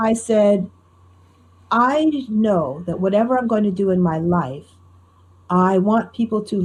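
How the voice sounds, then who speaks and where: Speaking with an American accent, a woman has a medium pitch, a somewhat breathy voice and ordinary pitch variation. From US Northeast, Newark, New Jersey. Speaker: storyteller. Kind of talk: interview conversation. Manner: clear, trained speaking.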